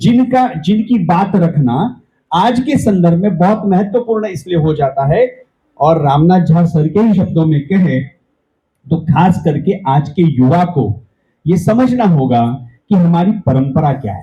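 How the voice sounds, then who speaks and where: This man's voice is high-pitched, with a dark, mellow tone. His intonation is lively. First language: Marathi (speaking Hindi). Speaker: event organizer giving welcome address. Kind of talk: welcome speech.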